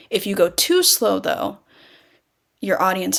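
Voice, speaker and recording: A woman talks at a moderate pace, captured on a very clean recording with a silent background. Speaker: speech teacher. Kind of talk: lecture. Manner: varied pitch.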